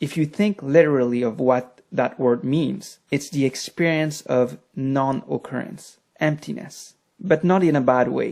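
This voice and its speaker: The voice has a French accent and a fairly slow pace. The recording is very clean, with a silent background. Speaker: meditation teacher and author. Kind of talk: lecture.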